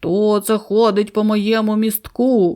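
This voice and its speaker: A put-on character voice, fairly high in pitch, flat and monotone, at a fairly slow pace. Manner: roaring, gruff.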